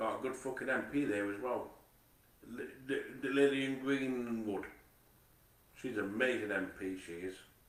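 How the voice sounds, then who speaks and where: Delivered at a moderate pace with ordinary pitch variation, the speech has long, frequent pauses and audible room echo. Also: man, medium pitch for a man. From Manchester, later Nottingham/Mansfield. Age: 40s. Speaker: vlogger. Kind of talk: casual monologue. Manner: halting, repetitive stammering.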